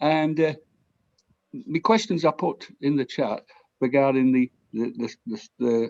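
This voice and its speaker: A man with a South Yorkshire accent and a medium-pitched voice. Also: dry, close sound with no echo. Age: 60s. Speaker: audience member asking a question. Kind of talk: audience question. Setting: video call.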